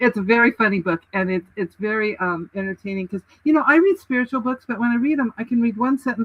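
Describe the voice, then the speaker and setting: Talking very fast, a woman uses a fairly high pitch and an animated tone. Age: 70s. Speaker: writing and publishing coach, author. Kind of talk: casual interview chat.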